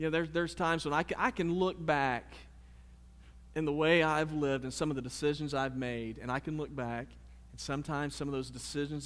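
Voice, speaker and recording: A man speaks in a normal speaking voice, pitched fairly high, with fairly even intonation. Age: 30s. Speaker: pastor. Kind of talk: sermon. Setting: church.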